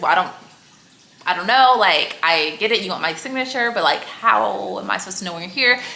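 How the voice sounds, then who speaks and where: Lively intonation and an animated tone, with noticeable background noise and audible room echo. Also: woman. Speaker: fashion vlogger. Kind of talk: casual storytime vlog. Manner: fast.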